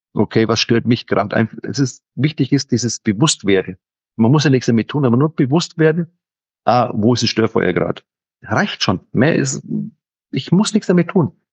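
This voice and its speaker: A somewhat breathy man with a Franconian accent, lively intonation, very even loudness, and a moderate pace. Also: medium pitch for a man. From Franconia, Germany. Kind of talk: casual chat.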